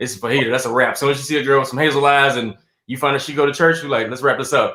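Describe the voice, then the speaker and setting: At a very fast pace, a man with a Southern US accent speaks at fairly high pitch, with a bright, sharp tone and fairly even intonation. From South Carolina. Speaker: stand-up comedian and actor. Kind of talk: casual interview chat.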